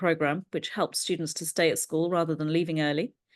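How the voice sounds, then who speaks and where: A woman talks very fast with an English accent. The background is quiet. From England. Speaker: NLP trainer and learning coach. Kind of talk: interview.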